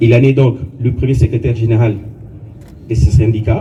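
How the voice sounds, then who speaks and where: A man's voice amid noticeable background noise. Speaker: colleague reading the deceased's biography at a funeral. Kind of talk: funeral eulogy, reading a biography.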